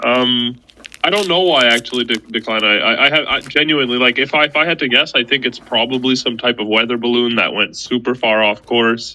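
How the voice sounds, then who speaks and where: A man talks fairly quickly at a medium pitch while noticeable background noise sounds behind him. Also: ordinary pitch variation. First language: not English. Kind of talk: casual chat. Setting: audio chat room.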